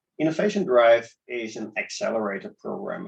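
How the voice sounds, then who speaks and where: A man speaks in a Dutch accent at a moderate pace. His intonation is lively. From Netherlands, Amsterdam. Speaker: startup accelerator organizer. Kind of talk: interview.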